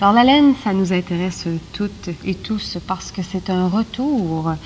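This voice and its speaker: A woman's ordinary speaking voice, medium in pitch, with lively intonation and a fairly slow pace. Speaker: TV magazine host. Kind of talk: TV interview questions.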